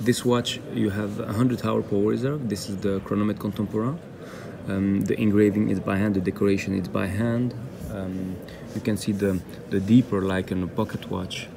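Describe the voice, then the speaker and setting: A moderate pace and ordinary pitch movement against noticeable background noise. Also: man, fairly low pitch for a man. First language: not English. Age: 30s. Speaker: independent watchmaker. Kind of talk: interview. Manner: halting, many fillers and repeats.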